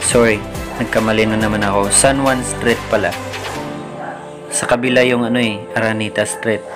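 A man speaks at a moderate pace. Music can be clearly heard behind him. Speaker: vlogger driving or riding. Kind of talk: casual vlog chat. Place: car. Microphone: phone near.

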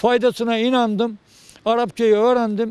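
A man's high-pitched voice with a dark, mellow tone, a fairly slow pace and a dry sound with no echo. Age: 70s. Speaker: retired teacher and graduate. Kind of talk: interview. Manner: halting. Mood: proud, content. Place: garden. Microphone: handheld.

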